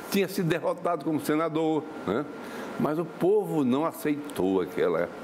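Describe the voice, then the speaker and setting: A man's fairly high voice at a moderate pace, lively in intonation and very even in loudness, over noticeable background noise. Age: 70s. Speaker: former education secretary and professor. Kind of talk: TV interview. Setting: TV studio. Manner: halting, many fillers and repetitions.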